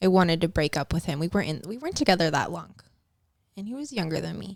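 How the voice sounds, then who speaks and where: The recording of this woman is very clean, and the background is silent. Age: 30s. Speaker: guest sharing addiction recovery story. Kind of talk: casual podcast interview. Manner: casual, filler-heavy.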